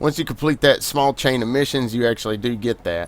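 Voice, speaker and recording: A man talks at a fairly quick pace with a Southern US accent. His pitch sits in the medium range. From US South. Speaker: gaming video creator. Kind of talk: gameplay commentary. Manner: casual, conversational.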